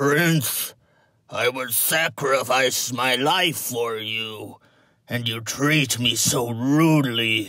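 The man uses a put-on character voice that sounds raspy. He speaks at a very slow pace with a medium pitch. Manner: oily, wheedling.

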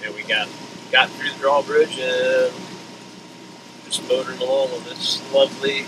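A man at a moderate pace, monotone and flat, amid noticeable background noise. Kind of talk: casual vlog chat. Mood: relaxed, reflective. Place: boat. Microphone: camera far.

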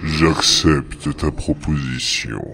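A man's put-on character voice, very deep and low, menacing in tone and very slow in pace. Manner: imperious, commanding, menacing.

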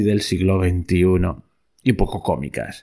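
A man talks at a very slow pace, captured in a very clean recording with a silent background. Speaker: podcast host. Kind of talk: history podcast narration, epic poem reading. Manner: solemn, declamatory; rhythmic, stately, ironic.

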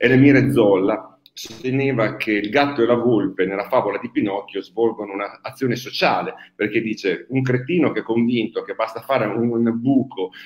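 Fairly even intonation from a man speaking at a moderate pace. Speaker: association host. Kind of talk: impassioned talk to livestream audience. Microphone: video call.

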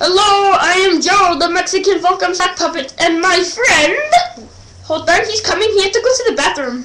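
Pitched extremely high, a cartoonish character voice delivers its lines at a moderate pace. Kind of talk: comedic puppet skit. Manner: hyper, excited.

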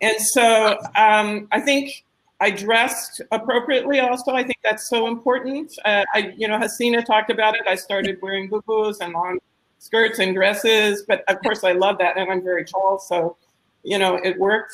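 A woman with a plain, everyday voice and an American accent, fairly high-pitched, with ordinary pitch variation at a moderate pace. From United States. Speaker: social entrepreneur. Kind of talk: panel discussion.

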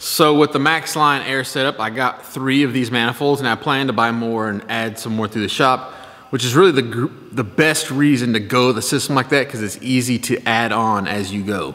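The man's pitch shifts in an ordinary way. His pace is moderate. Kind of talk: casual vlog chat. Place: workshop. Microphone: phone near.

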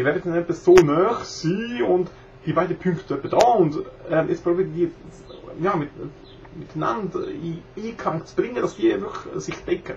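A man's high voice at a moderate pace, with ordinary pitch variation, big swings in loudness, and noticeable background noise. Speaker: video blogger. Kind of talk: casual tutorial talk to camera. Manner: hesitant, many filler sounds. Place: home room. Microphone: webcam.

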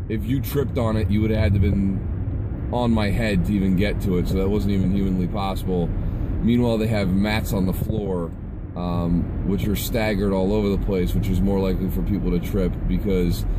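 A man at a fairly quick pace with ordinary pitch variation, amid noticeable background noise. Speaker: fitness vlogger. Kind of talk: casual vlog rant. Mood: annoyed, venting. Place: car. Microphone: phone near.

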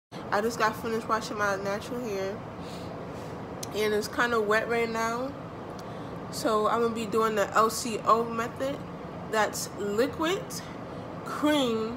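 Speech comes at a fairly slow pace with long, frequent pauses, fairly even intonation, and noticeable background noise. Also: woman. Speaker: hair vlogger. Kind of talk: tutorial. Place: home room. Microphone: phone near.

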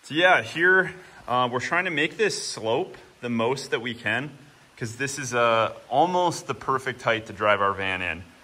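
Moderately paced, the man's speech has ordinary pitch variation. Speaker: homesteading vlogger. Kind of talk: casual vlog chat. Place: garage. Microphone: phone near.

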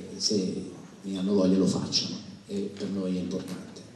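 A man at a fairly slow pace, with audible room echo and light background noise. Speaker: theatre owner and event producer. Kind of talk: press conference speech. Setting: stage with audience. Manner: halting. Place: stage. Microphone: podium.

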